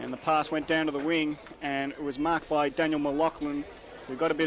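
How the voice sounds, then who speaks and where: Over noticeable background noise, a man with an Australian accent speaks at a fairly quick pace in a fairly high, monotone voice with flat intonation. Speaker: football commentator. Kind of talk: live commentary.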